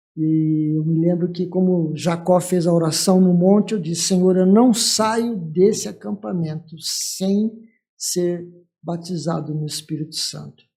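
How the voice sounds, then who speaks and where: This man's voice is high-pitched, with a dark, mellow tone. He speaks at a fairly slow pace with ordinary pitch variation. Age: 60s. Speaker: church leader, pastor. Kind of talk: testimony.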